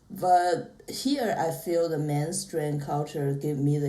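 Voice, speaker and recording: In a room with audible echo, a woman with a very deep, low voice speaks very slowly and with fairly even intonation. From China. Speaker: podcast guest. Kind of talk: casual chat.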